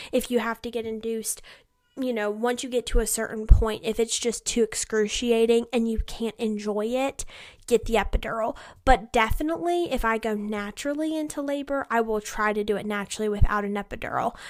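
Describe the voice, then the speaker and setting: On a very clean recording with a silent background, a woman speaks fairly quickly at a fairly high pitch with fairly even intonation. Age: young. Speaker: podcast co-host. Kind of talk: casual chat. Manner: fast.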